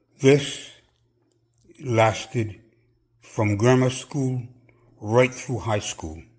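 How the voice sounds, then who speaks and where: Somewhat breathy, a man with a medium pitch and ordinary pitch variation talks at a very slow pace, with long, frequent pauses. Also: very clean recording, silent background. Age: 70s. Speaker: personal trainer. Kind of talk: personal testimony.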